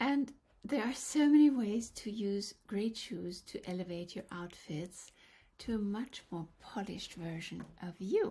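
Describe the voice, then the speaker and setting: A woman's somewhat breathy, medium-pitched voice with a Norwegian accent, at a fairly slow pace with lively intonation. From Norway. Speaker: color analyst. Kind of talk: vlog tutorial.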